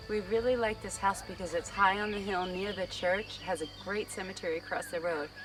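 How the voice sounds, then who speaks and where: With music in the background, the speaker moves at a fairly quick pace with hardly any pauses and fairly even intonation. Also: woman, medium pitch for a woman. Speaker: vlogger. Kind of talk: vlog narration.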